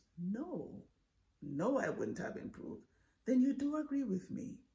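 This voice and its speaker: Pitch swings across a very wide range. There is a somewhat breathy quality to the voice. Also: woman. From Jamaica. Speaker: professor. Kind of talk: persuasive speech.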